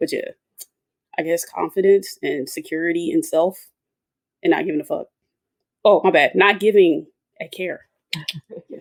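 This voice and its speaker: The speaker has an Atlanta accent and a moderate pace. Long, frequent pauses break up the speech. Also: woman. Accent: Atlanta Southern. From US South, Atlanta. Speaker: engineer and women's soccer supporter. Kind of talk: casual roundtable chat.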